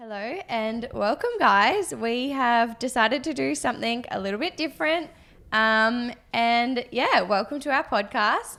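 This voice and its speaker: A woman's high-pitched, bright, sharp voice with lively intonation at a fairly slow pace, on a very clean recording with a silent background. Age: 20s. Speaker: podcast host and business co-founder. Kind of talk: casual chat; scripted intro.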